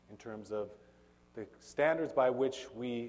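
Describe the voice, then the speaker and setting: This man has a medium pitch, ordinary pitch variation and a dark, mellow tone. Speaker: professor. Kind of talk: lecture. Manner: hesitant fillers.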